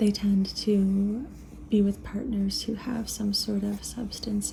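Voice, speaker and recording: A soft-spoken woman at a medium pitch, with noticeable background noise. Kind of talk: ASMR reading and rambling about astrology.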